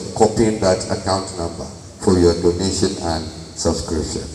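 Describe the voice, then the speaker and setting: The voice comes at a moderate pace with audible room echo and light background noise. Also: man. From Nigeria. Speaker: alumni association officer; presenter. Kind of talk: formal presentation. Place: hall.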